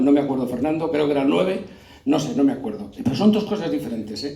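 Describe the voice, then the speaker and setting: A man's fairly high voice with very wide pitch swings, amid noticeable background noise and audible room echo. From Castile, Spain (Aranda de Duero area). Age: 60s. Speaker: panel moderator, historical memory activist. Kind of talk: panel discussion.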